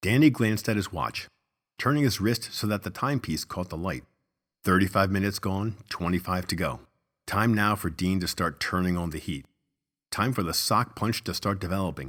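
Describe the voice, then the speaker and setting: Pitched fairly low with ordinary pitch variation, a man speaks in an ordinary speaking voice on a very clean recording with a silent background. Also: moderate pace. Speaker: audiobook narrator. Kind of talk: horror audio drama narration.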